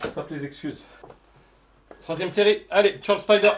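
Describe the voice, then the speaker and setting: Against noticeable background noise, a man with a high voice speaks at a fairly slow pace. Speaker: fitness youtuber. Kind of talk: workout tutorial. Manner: counting reps aloud, panting.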